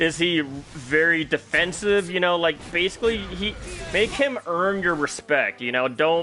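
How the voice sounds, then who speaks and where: Over noticeable background noise, a man speaks loudly and fairly slowly in a high pitch with ordinary pitch variation. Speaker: fighting game coach and streamer. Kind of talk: live stream coaching. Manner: casual, halting with fillers.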